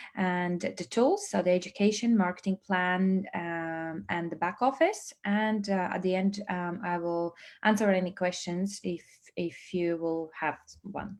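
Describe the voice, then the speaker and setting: With a Latvian accent, a woman speaks at a medium pitch and a fairly slow pace, her intonation fairly even. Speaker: business trainer and network marketing presenter. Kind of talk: online presentation. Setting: livestream. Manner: hesitant, many fillers.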